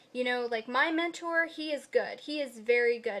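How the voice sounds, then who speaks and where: A woman with a high voice speaks with fairly even intonation. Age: young. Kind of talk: casual talk to camera.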